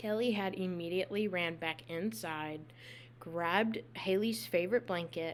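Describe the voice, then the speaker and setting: A woman speaks at a moderate pace in an ordinary speaking voice. Her pitch is fairly low and her intonation lively. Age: 20s. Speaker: podcast host. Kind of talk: true crime storytelling. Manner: casual.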